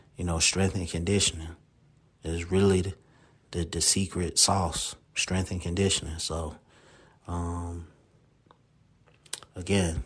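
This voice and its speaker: A man's very deep, low, somewhat breathy voice, flat and monotone, at a fairly slow pace with long, frequent pauses. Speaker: sports podcast host. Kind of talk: solo podcast monologue. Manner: casual, filler-heavy.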